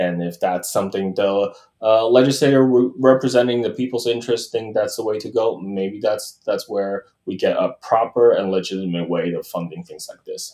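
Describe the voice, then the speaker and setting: A man speaks at a moderate pace, his loudness swinging widely from moment to moment. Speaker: community advocate and lobbyist. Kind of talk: interview. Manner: halting, many fillers.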